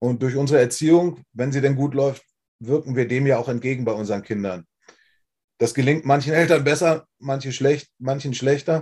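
A man with a fairly high pitch and ordinary pitch variation talks at a moderate pace in an ordinary speaking voice. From Germany, Wolfsburg (Lower Saxony). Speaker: former rock singer. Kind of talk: testimony interview. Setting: livestream.

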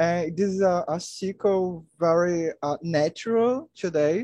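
A man with a Portuguese accent speaks at a very slow pace in a high pitch, with a dark, mellow tone and ordinary pitch variation. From Brazil, Maranhão. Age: 20s. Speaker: chemistry student. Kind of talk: casual chat. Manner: halting.

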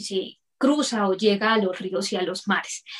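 This woman has an unremarkable speaking voice with ordinary pitch variation. She talks at a fairly slow pace. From Colombia, Bucaramanga. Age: 30s. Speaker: entrepreneur, dental lab technician. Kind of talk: interview.

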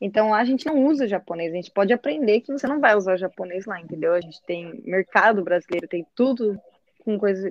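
A woman with an unremarkable speaking voice talks at a fairly quick pace and medium pitch. Her intonation is lively, with big swings in loudness. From Brazil, Curitiba. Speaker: football goalkeeper. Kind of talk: casual chat.

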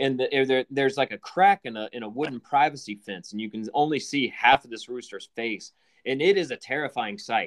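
This is an ordinary speaking voice: a man at medium pitch with ordinary pitch variation and a fairly quick pace. His loudness swings widely, and the sound is dry and close with no echo. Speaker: podcast host. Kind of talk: casual chat.

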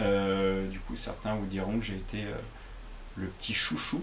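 Male speech with ordinary pitch variation, audible echo of the room, and noticeable background noise. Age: 30s. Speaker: fitness coach. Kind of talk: solo podcast monologue. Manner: hesitant, many fillers.

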